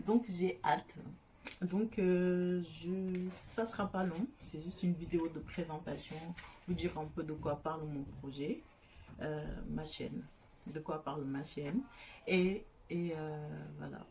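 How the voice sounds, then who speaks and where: A woman speaks at a very slow pace, leaving long, frequent pauses. Her voice is somewhat breathy and fairly low in pitch, with a dark, mellow tone. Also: ordinary pitch variation. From Senegal. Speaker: YouTuber. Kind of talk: casual vlog introduction. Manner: hesitant, many fillers.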